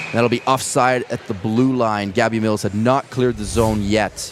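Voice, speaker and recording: With background noise noticeable, a man holds a medium pitch and a flat, monotone intonation. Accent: Canadian. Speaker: ice hockey play-by-play commentator. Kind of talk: live commentary. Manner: fast.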